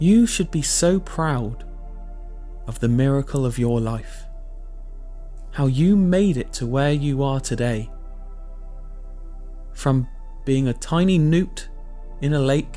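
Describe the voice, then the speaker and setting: Music plays in the background as someone talks with a calm tone and an English accent. The pace is very slow, with long, frequent pauses. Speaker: meditation guide. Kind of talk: guided meditation. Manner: calm, slow.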